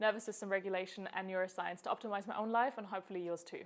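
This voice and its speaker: Over noticeable background noise, a woman with a German accent speaks at a medium pitch with fairly even intonation. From Germany. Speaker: health coach. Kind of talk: personal story vlog. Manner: casual, conversational.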